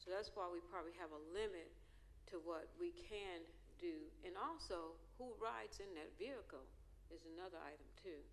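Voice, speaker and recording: A woman at a moderate pace, with audible room echo. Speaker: school board trustee. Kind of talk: board meeting discussion. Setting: board auditorium.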